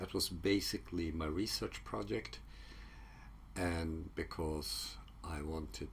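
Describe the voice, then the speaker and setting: Very slowly, a man with a Swedish accent speaks at a very deep, low pitch, with vocal fry and very wide pitch swings. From Sweden. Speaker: psychology researcher. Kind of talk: casual talk to camera. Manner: halting, many fillers.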